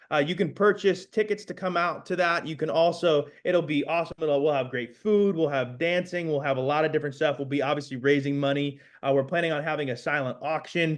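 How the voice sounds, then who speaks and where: Against a quiet background, the speech runs with hardly any pauses and ordinary pitch variation. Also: man, fairly high pitch for a man, fairly quick pace. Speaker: community organizer and pastor. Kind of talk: panel presentation. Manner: fast; animated.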